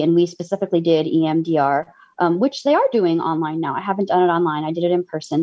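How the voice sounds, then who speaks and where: Talking at a fairly quick pace, a woman with a fairly low pitch has a normal speaking voice. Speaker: former therapy client. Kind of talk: panel discussion.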